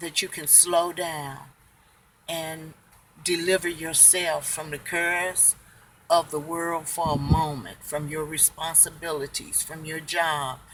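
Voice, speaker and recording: A woman speaks at a very slow pace. Her pitch is fairly low. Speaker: family devotional vlogger. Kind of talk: devotional talk. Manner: calm.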